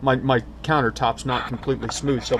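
Noticeable background noise is present. The speaking pace is moderate. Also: man. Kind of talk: tutorial. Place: kitchen. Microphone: camera far.

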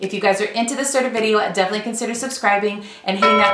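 A woman at a very fast pace with fairly even intonation and faint music in the background. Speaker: lifestyle vlogger. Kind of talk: casual vlog chat. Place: home room.

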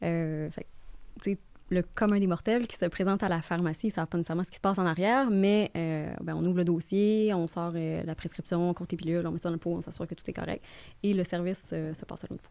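A woman talks at a very fast pace with fairly even intonation. Her voice is fairly low-pitched, with a dark, mellow tone. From Gaspésie, Quebec; Quebec. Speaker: mortgage broker; podcast guest. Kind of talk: podcast interview. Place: studio. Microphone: studio mic.

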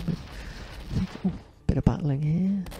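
A man whispers at a very fast pace. The sound is dry with no echo, and there is noticeable background noise. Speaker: indie game developer. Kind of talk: game dev walkthrough narration. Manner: whispered; hesitant, casual. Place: home room.

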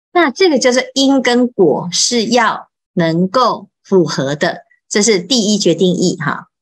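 Against a quiet background, a woman speaks very slowly in a somewhat breathy voice with very wide pitch swings. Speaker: Buddhist monastic teacher. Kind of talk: Buddhist scripture lecture. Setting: online live session. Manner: many filler particles. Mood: calm, patient teaching. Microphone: video call.

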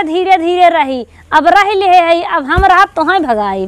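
A woman speaks fairly slowly, with ordinary pitch variation, over a quiet background. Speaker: skit actor playing daughter-in-law. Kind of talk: acted comedic family quarrel dialogue. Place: open country. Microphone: phone near.

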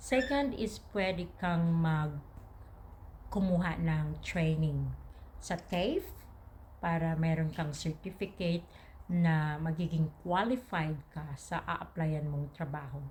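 Speaking at a very slow pace, a woman with a fairly low pitch sounds somewhat breathy, with ordinary pitch variation. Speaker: vlogger. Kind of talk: casual advice talk to camera.

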